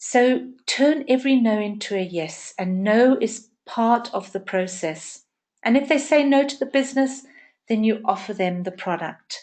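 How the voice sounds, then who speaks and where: Using a plain, everyday voice, a woman speaks at a fairly slow pace with a fairly high pitch and lively intonation over a quiet background. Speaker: network marketing trainer. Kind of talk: training session.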